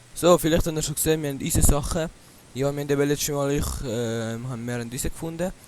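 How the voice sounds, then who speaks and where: Noticeable background noise sits behind a man who talks very fast. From Switzerland. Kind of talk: casual gaming commentary.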